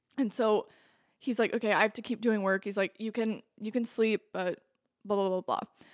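An unremarkable speaking voice from a woman with an American accent, fairly high-pitched and fairly quick, with fairly even intonation, in a dry, close sound with no echo on a very clean recording with a silent background. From southwest Iowa. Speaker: podcast guest, friend of host. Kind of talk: casual chat.

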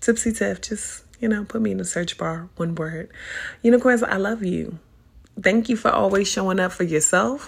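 Animated and somewhat breathy, a woman speaks at a moderate pace with lively intonation. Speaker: podcast host and spiritual advisor. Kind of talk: casual monologue.

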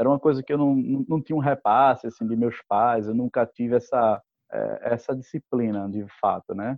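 The man talks at a moderate pace in a medium pitch. Fairly even intonation marks his delivery. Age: 30s. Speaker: law graduate, course student. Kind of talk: casual interview. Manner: halting, many fillers.

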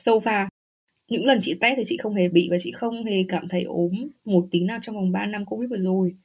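Somewhat breathy speech at a fairly quick pace with ordinary pitch variation. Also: woman. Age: 30s. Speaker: podcast guest living in Germany. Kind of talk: casual interview chat.

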